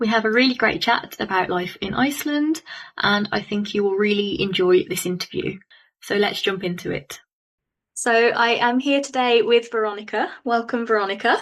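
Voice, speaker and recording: Moderate pace and ordinary pitch variation from a woman whose voice sits fairly high. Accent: Birmingham. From England, Birmingham. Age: 30s. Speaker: podcast host. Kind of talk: scripted intro; interview.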